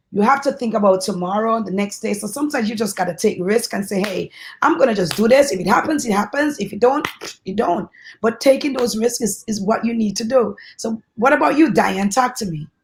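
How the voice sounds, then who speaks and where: Somewhat breathy, a woman with an American accent speaks at a fairly quick pace. Her pitch is fairly high, with ordinary variation. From Brooklyn, New York. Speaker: panel moderator. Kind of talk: panel discussion.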